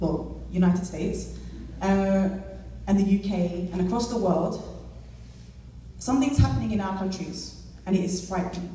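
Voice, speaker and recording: A woman speaks at a moderate pace and medium pitch, with ordinary pitch variation and long, frequent pauses. Audible room echo and noticeable background noise surround her voice. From London, England. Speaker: activist, deputy director of an advocacy group. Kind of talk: speech at a community event. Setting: stage with live audience. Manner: animated, rallying.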